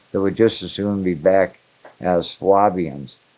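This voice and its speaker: Fairly slow speech in an American accent. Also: man. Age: 70s. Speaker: amateur researcher. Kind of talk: casual interview. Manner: halting, many fillers.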